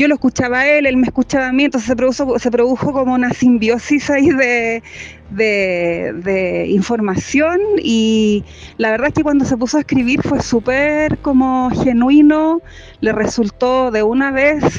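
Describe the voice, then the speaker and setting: Against noticeable background noise, a high-pitched woman speaks at a fairly slow pace with ordinary pitch variation and very even loudness. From Chile. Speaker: poet. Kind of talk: interview.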